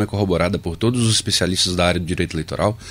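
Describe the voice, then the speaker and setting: A man's fairly low voice at a very fast pace, with ordinary pitch variation and noticeable background noise. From Brazil, Minas Gerais. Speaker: electoral office chief. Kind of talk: radio interview.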